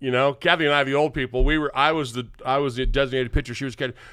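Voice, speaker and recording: In a very clean recording with a silent background, a man talks at a medium pitch with an American accent. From US South, western Kentucky. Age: 60s. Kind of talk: casual chat. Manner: halting, many repeated words.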